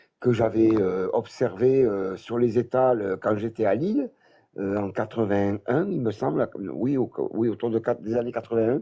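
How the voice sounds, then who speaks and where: Fairly slow and dark, mellow in tone, a man's voice carries through. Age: 60s. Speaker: former cult member giving testimony. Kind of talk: testimony. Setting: phone call into live stream. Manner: halting. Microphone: noisy phone line.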